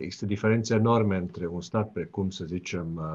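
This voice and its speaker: A man's very deep, low voice with fairly even intonation at a moderate pace. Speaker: political science professor. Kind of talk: radio interview. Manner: hesitant, many fillers.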